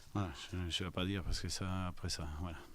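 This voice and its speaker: The room echo is audible. The speaker is a man. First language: not French (speaking French). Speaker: football coach. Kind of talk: press conference. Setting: post-match press conference. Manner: halting, many hesitations.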